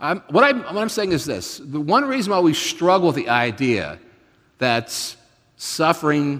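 His pitch swings very widely as the man speaks at a moderate pace. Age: 50s. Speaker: pastor. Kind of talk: sermon.

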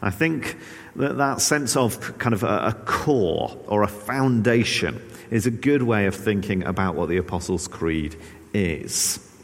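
With audible room echo, a man with a fairly low pitch speaks at a fairly slow pace, his loudness very even and his intonation lively. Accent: English. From England. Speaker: pastor. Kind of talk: sermon. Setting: church. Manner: hesitant, frequent filler words.

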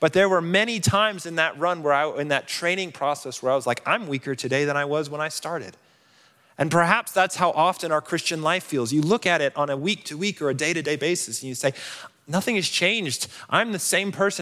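In a very clean recording with a silent background, a man with an American accent speaks at a fairly quick pace and a fairly high pitch, his tone bright and sharp, with ordinary pitch variation. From Colorado. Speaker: campus minister. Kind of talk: sermon. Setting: church.

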